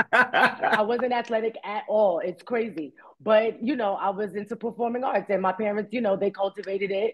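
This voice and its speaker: In a Bronx accent, this animated voice moves at a moderate pace with hardly any pauses. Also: woman, fairly high pitch for a woman. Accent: New York, Bronx. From New York, the Bronx. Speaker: actress. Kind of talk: interview.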